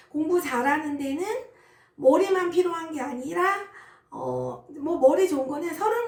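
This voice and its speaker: A woman with lively intonation at a fairly slow pace, with audible room echo. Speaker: insurance team leader. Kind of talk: personal story. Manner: casual, many fillers.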